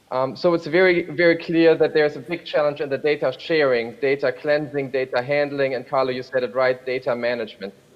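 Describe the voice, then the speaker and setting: Against noticeable background noise, a man with a fairly high pitch and ordinary pitch variation talks at a fairly quick pace with hardly any pauses. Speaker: rail freight program manager. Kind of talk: panel discussion. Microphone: hears own audio echo.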